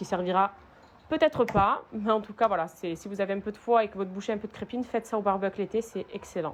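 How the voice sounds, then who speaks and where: In an animated tone, a woman with a medium-pitched voice talks at a fairly quick pace. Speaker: lifestyle vlogger. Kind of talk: cooking tutorial vlog. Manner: casual, animated.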